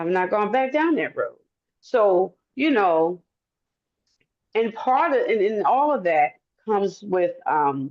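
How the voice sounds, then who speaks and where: The speaker, in an American accent, goes at a very slow pace with long, frequent pauses. Pitch swings very widely while loudness stays very even. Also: woman, medium pitch for a woman. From Baltimore, Maryland. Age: 60s. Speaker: addiction counselor. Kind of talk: testimony. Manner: animated.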